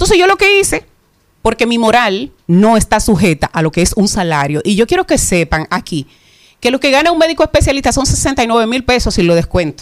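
Fairly quick, fairly high-pitched speech from a woman, with very wide pitch swings and very even loudness, in a very clean recording over a silent background. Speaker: mental health advocate doctor. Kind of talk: radio interview.

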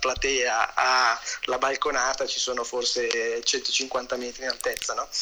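Noticeable background noise accompanies the recording. A man speaks in a monotone, flat intonation. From northern Italy, Varese province. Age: 40s. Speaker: booking agent and music manager. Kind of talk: casual interview.

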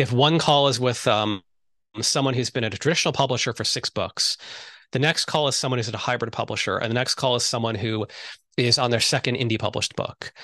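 Against a quiet background, a man with a bright, sharp tone talks at a fairly quick pace with fairly even intonation, the sound dry and close with no echo. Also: medium pitch for a man. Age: 50s. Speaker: book marketing consultant for writers. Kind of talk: interview.

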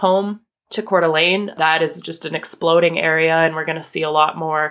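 This woman has an American accent and a fairly low pitch, an unremarkable speaking voice. She talks at a fairly quick pace. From US, northern Idaho. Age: 30s. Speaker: small business owner. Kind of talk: interview conversation.

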